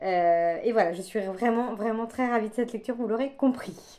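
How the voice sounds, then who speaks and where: Very clean and recorded against a silent background, this clip features a woman with a fairly high pitch. Her tone is dark and mellow, with ordinary pitch variation. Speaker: book vlogger. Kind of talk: casual vlog chat. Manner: hesitant, many fillers.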